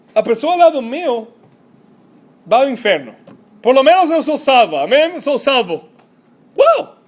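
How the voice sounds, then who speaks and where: A man's extremely high voice with lively intonation, at a fairly slow pace and with long, frequent pauses. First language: Spanish (speaking Portuguese). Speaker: pastor. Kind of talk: sermon. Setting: church. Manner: halting, mixes Spanish words.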